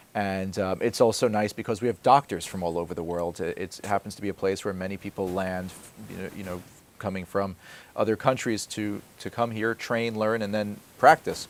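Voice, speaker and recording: An ordinary speaking voice in an American accent, fairly quick in pace, with fairly even intonation on a very clean recording with a silent background. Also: man, fairly low pitch for a man. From New Jersey. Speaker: TV health show host, physician. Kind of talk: interview.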